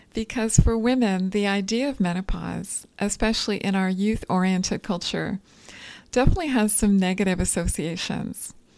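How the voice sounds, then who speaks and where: A normal speaking voice from a woman, medium in pitch, on a very clean recording with a silent background. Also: ordinary pitch variation, moderate pace. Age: 40s. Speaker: dietitian and podcast host. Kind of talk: solo educational podcast.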